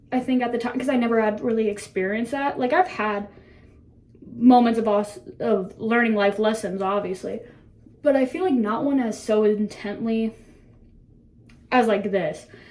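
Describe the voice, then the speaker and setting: Over noticeable background noise, a woman talks in a fairly high pitch with ordinary pitch variation, leaving long, frequent pauses. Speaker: lifestyle vlogger. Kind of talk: casual chat. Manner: rambling, fast and filler-heavy.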